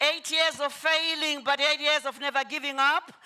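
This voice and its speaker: A woman speaks in a raised, projected voice. Her pitch is high and her pace moderate. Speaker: motivational speaker. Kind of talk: motivational talk.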